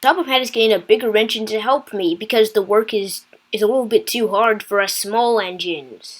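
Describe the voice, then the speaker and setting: A woman puts on a character voice, fairly high in pitch. She talks at a fairly quick pace with hardly any pauses. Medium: read story.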